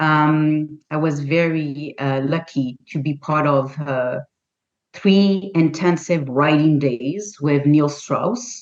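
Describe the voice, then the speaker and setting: A woman with a non-native accent speaks at a very slow pace in a very deep, low pitch. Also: ordinary pitch variation. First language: not English. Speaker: holistic health practitioner and author. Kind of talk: interview. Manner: halting.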